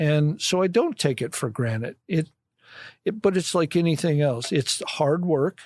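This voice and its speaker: A man with a Midwestern US accent speaks in a fairly high voice with lively intonation. The sound is dry and close, with no echo. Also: fairly slow pace, very clean recording, silent background. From Illinois, Kankakee County. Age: 60s. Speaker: vehicle collection curator. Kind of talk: casual chat. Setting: podcast recording.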